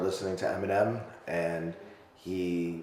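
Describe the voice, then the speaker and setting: Audible room echo and noticeable background noise surround a man speaking with an American accent. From New York. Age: 30s. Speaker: rapper. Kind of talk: casual interview. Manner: hesitant, many fillers.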